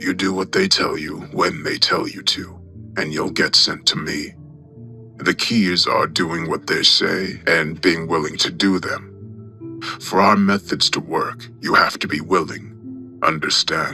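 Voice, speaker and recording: With clear music in the background, a man does a put-on character voice at a fairly slow pace. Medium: read story. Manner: smooth, calm, condescending.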